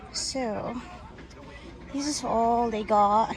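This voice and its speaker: Mumbling, a woman with a fairly high pitch and ordinary pitch variation is heard through audible room echo and noticeable background noise. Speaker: crochet vlogger. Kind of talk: casual shopping vlog. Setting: in a store.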